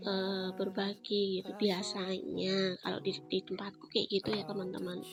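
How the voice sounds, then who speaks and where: With music in the background, a woman speaks in a monotone, flat way. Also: medium pitch for a woman, moderate pace. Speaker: housewife vlogger. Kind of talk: cooking vlog voice-over. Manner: casual, with many fillers.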